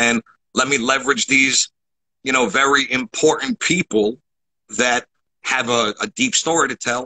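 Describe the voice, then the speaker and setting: A man at a moderate pace, with long, frequent pauses, ordinary pitch variation and a quiet background. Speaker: entrepreneur; podcast host, guest. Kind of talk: casual interview. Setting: video call. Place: home room. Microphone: video call.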